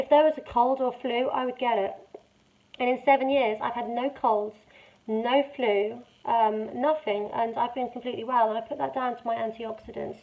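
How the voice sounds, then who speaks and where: A woman with a British accent speaks at a moderate pace, high in pitch and with fairly even intonation. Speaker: vlogger sharing her cancer journey. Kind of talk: casual talk to camera. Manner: halting, word-finding pauses.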